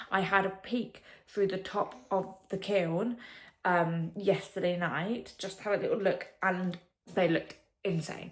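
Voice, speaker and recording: In an English accent, a woman talks at a fairly slow pace with a medium pitch. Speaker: vlogger and potter. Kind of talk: casual vlog talk. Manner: animated.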